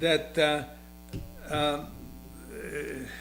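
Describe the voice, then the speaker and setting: A man speaks very slowly with a Hungarian accent. Background noise is noticeable. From Hungary. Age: 80s+. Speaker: retired skier and windsurfer. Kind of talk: interview. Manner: halting.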